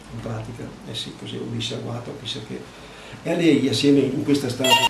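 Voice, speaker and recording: A man at a fairly quick pace, big swings in loudness, audible room echo and noticeable background noise. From Veneto, Treviso province. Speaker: war eyewitness. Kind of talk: testimony.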